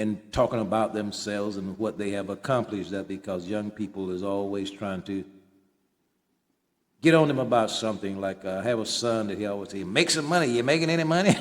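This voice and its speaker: On a very clean recording with a silent background, a man uses an ordinary speaking voice, fairly low in pitch, at a fairly quick pace with ordinary pitch variation. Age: 60s. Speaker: author and independent journalist. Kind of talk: personal monologue.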